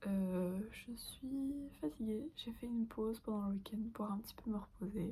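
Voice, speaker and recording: A woman with a fairly high pitch and a dark, mellow, somewhat breathy tone speaks at a fairly slow pace with ordinary pitch variation and hardly any pauses. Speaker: fashion student vlogger. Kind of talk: casual vlog. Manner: hesitant.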